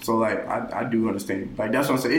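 Room echo is audible as a man speaks. Background noise is noticeable. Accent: American. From Brooklyn, New York. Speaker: college student guest. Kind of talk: casual chat.

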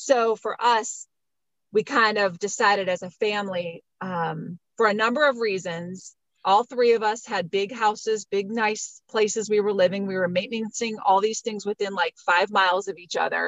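At a moderate pace, a woman speaks in an unremarkable speaking voice with a medium pitch and fairly even intonation. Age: 50s. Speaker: homeschooling mother. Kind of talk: casual chat and personal testimony.

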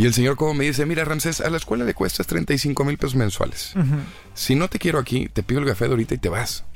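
A man's fairly high-pitched voice at a very fast pace, with lively intonation and very even loudness, over noticeable background noise. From Mexico, Monterrey. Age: 20s. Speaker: actor and TV presenter. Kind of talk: interview.

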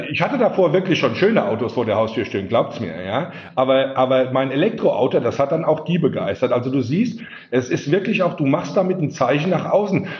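Amid noticeable background noise, a man with a fairly high pitch talks at a fairly quick pace, his pitch swinging very widely. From Palatinate, Germany. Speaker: sales executive. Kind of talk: casual chat.

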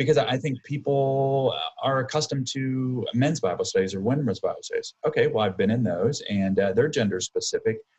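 A man's somewhat breathy voice. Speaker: podcast co-host, church leader. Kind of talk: casual interview chat.

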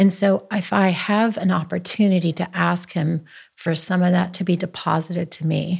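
A somewhat breathy woman's voice, fairly low in pitch, with fairly even intonation. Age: 50s. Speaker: businesswoman and spiritual leader. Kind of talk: casual chat.

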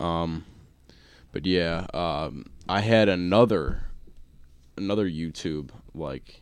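A man with an American accent, a very deep, low pitch and vocal fry. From Buffalo, New York. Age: 20s. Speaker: podcast host. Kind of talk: casual chat, podcast banter. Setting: studio. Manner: casual, rambling, filler-heavy.

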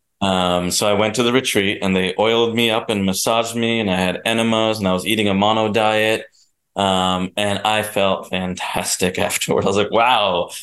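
In a New Jersey accent, a man speaks at a fairly low pitch with monotone, flat intonation and very even loudness. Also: moderate pace. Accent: American, New Jersey. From New Jersey, US. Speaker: documentary producer. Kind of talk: casual chat.

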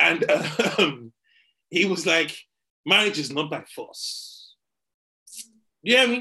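A man speaks in a raised, projected voice with a bright, sharp tone and very wide pitch swings. His pace is fairly slow, with big swings in loudness and long, frequent pauses. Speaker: podcast co-host comedian. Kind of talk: casual banter podcast chat. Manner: animated, joking, laughing.

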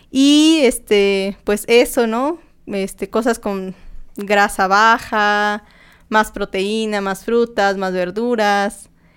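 Speaking at a very slow pace, a woman uses ordinary pitch variation. The recording is very clean, with a silent background. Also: medium pitch for a woman. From Mexico, Tlaxcala. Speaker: recovered anorexia patient. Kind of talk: personal testimony. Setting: studio, in person.

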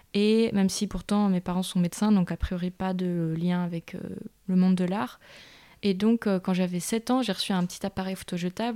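A woman's medium-pitched voice with a dark, mellow tone and fairly even intonation, fairly quick, in a dry, close sound with no echo and a very clean recording with a silent background. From Belgium, Brussels. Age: 20s. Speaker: photographer and director. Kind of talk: interview. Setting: at her home.

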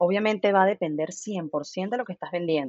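A woman speaks at a fairly quick pace with lively intonation and a medium pitch. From Venezuela. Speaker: marketing agency founder. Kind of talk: interview.

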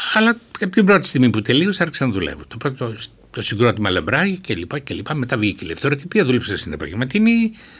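The voice moves at a very fast pace with very wide pitch swings. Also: man, medium pitch for a man. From Greece, Thrace (Alexandroupoli). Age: 70s. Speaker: novelist. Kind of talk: interview.

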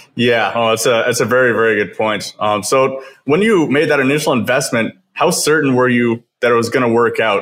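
A man with a western Canadian accent, medium pitch, ordinary pitch variation and a fairly quick pace. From Kelowna, British Columbia, Canada. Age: 20s. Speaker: podcast host. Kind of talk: casual interview chat.

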